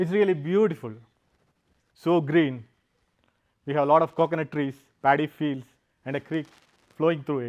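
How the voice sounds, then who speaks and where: With a Keralan accent, a man speaks at a moderate pace, his fairly high pitch showing ordinary variation, and he takes long, frequent pauses. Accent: Indian (Malayali). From South India, Kerala. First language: Malayalam. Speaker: software engineer and founder, speaker. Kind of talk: public talk. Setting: stage with audience.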